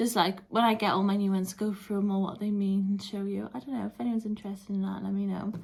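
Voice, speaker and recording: Somewhat breathy, a woman with a British accent speaks at a very fast pace and a medium pitch with monotone, flat intonation. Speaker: vlogger. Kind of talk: casual vlog chat. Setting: at home, flat.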